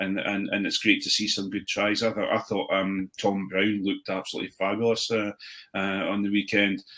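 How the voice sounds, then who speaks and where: A man's fairly low, bright, sharp voice, monotone and flat, at a fairly quick pace. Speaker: rugby pundit. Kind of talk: casual chat. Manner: halting, many repetitions.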